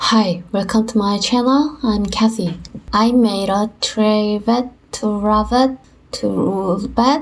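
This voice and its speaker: Fairly high-pitched and somewhat breathy, a woman with a Korean accent speaks very slowly, with ordinary pitch variation and very even loudness. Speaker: woodworker and artist. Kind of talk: tutorial narration.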